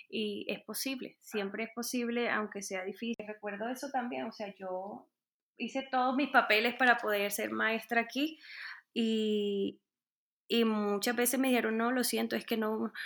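The woman talks at a fairly slow pace. Her pitch is fairly high, with ordinary pitch variation. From Colombia, Caribbean coast (Montería). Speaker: music teacher. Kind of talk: interview. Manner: hesitant, many fillers.

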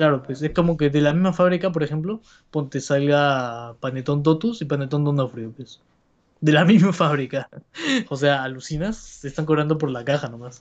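A man with an unremarkable speaking voice talks at a moderate pace in a fairly high voice, with ordinary pitch variation and big swings in loudness. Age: 20s. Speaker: podcast co-host. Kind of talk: casual chat. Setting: livestream.

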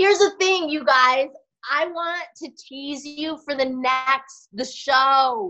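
A woman's raised, projected voice in an American accent, high-pitched, bright and sharp, at a very slow pace with ordinary pitch variation. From Denver, Colorado. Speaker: actress. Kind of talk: casual chat.

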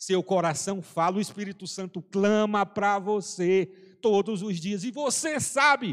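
A man's high-pitched voice at a fairly slow pace. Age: 40s. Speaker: preacher. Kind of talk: sermon. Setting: church service, also streamed online.

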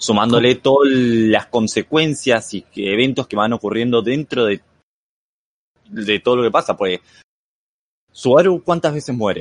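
With a dry, close sound and no echo, a man at a medium pitch talks with ordinary pitch variation and long, frequent pauses. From Argentina. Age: 20s. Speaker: anime fan guest. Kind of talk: casual chat.

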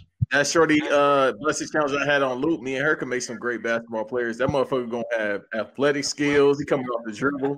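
A man talks at a very fast pace with hardly any pauses, using a fairly high pitch and fairly even intonation. Noticeable background noise is present. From Los Angeles. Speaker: podcast host. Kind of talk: casual chat.

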